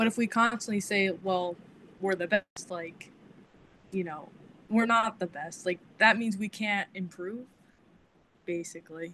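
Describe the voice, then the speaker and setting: The voice has a bright, sharp tone and a fairly slow pace with long, frequent pauses. Light background noise sits behind it. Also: woman, fairly even intonation. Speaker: therapy student. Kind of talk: group discussion. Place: home room. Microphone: video call.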